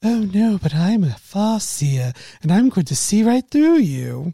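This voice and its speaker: A put-on character voice, playful and dramatic in tone, at a middle pitch and fairly slow pace, with very wide pitch swings. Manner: playful, dramatic in-character taunting.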